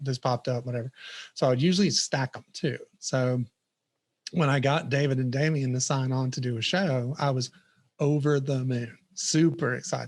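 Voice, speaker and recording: A Southern US accent at a fairly quick pace against a quiet background. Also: man. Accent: noticeable Southern US. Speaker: software product manager. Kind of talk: casual interview chat.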